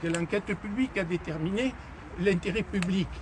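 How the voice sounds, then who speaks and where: At a high pitch, a man talks at a moderate pace with ordinary pitch variation. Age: 70s. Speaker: mayor. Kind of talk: unscripted street conversation with residents.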